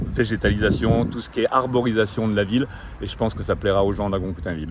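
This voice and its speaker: A man talks with a fairly low pitch and ordinary pitch variation. Noticeable background noise sits behind him. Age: 60s. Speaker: retired executive, local election candidate. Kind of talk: interview.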